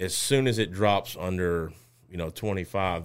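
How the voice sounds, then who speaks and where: A man with a Louisiana accent talks at a moderate pace. His pitch is very deep and low, with ordinary variation. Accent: Southern US (Louisiana). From Louisiana, Lake Charles. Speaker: safety consulting business owner. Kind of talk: interview.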